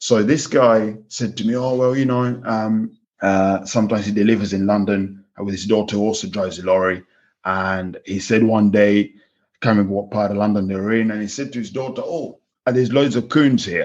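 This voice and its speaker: A man with a Kenyan accent, fairly low-pitched, fairly quick, with fairly even intonation. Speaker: pig farm manager. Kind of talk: podcast interview.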